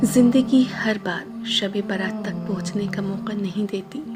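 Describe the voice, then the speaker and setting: A woman talks at a medium pitch with fairly even intonation. Music plays in the background. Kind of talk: Islamic quotes reading.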